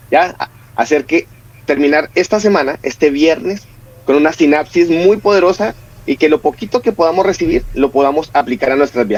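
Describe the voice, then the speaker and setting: With a Colombian accent, a man talks at a fairly quick pace and a fairly high pitch. Noticeable background noise runs behind him. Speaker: family counselor and speaker. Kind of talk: religious talk. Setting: online broadcast.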